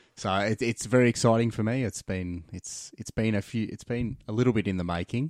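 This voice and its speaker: Recorded very cleanly against a silent background, a man uses a normal speaking voice at a fairly low pitch and a fairly quick pace, the sound dry and close with no echo. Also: ordinary pitch variation. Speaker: co-host. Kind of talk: casual chat.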